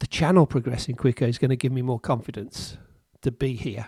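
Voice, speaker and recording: A man talks at a moderate pace and a medium pitch, with ordinary pitch variation. His voice is somewhat breathy, with an English accent, and the sound is dry and close with no echo. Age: 60s. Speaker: amateur chess streamer. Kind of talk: casual commentary while playing chess. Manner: hesitant, repeats words.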